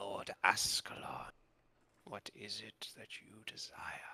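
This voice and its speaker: A put-on character voice, whispering and creaky, at a fairly slow pace. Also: man. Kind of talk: formal, addresses him as lord.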